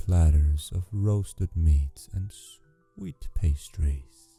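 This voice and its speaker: The speaker is soft-spoken, with a calm, gentle tone and a very slow pace. Music plays in the background. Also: man. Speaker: sleep story narrator. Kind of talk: fairy tale reading. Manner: soft, calm, gentle.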